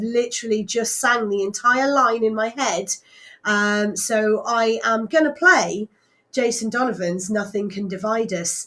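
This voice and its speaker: This loud voice has a bright, sharp tone, ordinary pitch variation and a fairly slow pace. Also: woman. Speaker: radio DJ. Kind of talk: live radio DJ chat. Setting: radio studio, livestreamed. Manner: hesitant, many fillers.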